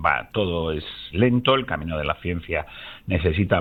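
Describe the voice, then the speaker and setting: This man has a very deep, low pitch. His pitch varies in an ordinary way. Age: 60s. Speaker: biologist and company founder. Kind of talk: radio interview.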